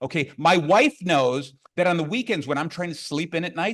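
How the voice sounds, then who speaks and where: A loud, animated man speaks at a moderate pace with a high pitch. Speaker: business coach and motivational speaker. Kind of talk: conference keynote talk. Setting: stage with audience.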